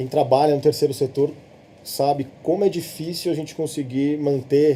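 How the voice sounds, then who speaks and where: Somewhat breathy and fairly high in pitch, a man's voice carries a dark, mellow tone. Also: fairly even intonation, moderate pace. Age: 30s. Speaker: social entrepreneur. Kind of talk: podcast interview conversation. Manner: halting, frequent repetitions.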